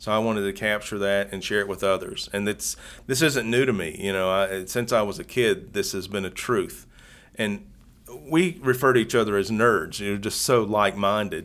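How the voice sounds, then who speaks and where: Speaking with an Appalachian accent at a moderate pace, a man uses a fairly low pitch and ordinary pitch variation on a very clean recording with a silent background. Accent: Southern Appalachian American. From Southwest Virginia / East Tennessee, Southern Appalachians. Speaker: YouTuber and dart frog hobbyist. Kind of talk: casual interview. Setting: hotel room.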